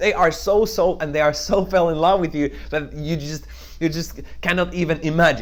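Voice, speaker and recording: Fairly high in pitch, a man's voice holds a fairly even intonation. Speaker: network marketing trainer. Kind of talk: tutorial. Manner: fast.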